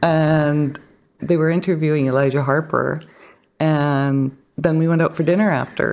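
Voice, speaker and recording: In a Canadian accent, a woman speaks at a moderate pace with a very deep, low pitch, flat monotone intonation and very even loudness. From northern British Columbia coast, Canada. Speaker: broadcaster and media producer. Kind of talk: casual interview chat.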